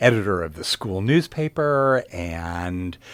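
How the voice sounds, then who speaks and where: With an American accent, a man speaks very slowly at a fairly low pitch with lively intonation, in a very clean recording with a silent background. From US Pacific Northwest, Portland, Oregon. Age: 60s. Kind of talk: radio interview.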